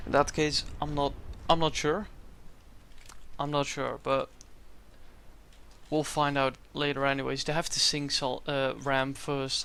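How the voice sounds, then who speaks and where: Speaking fairly slowly with long, frequent pauses, a man uses a fairly high, bright, sharp voice in a flat monotone. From Netherlands. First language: Dutch. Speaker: esports tournament commentator and streamer. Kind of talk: live commentary.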